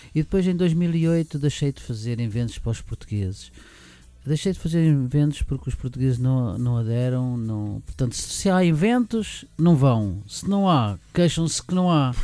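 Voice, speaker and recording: Over music in the background, a man with a fairly high voice talks at a moderate pace with lively intonation. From Portugal, Lisbon. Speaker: event organiser. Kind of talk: interview. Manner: halting.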